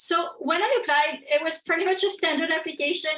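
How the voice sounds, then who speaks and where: A woman with a French accent speaks in a raised, projected voice at a moderate pace. Her tone is bright and sharp, with ordinary pitch variation. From France. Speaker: professor. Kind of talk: lecture. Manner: hesitant, many fillers.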